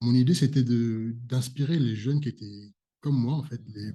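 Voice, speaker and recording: A man speaks at a moderate pace and medium pitch. His voice is somewhat breathy, with a dark, mellow tone. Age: 20s. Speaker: YouTube personal development host. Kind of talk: interview conversation.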